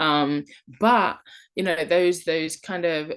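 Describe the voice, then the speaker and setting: With a British accent, a woman speaks. Her voice has a fairly low pitch. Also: quiet background. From London, England. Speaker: online English teacher and travel vlogger. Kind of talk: tutorial. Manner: casual, conversational with fillers.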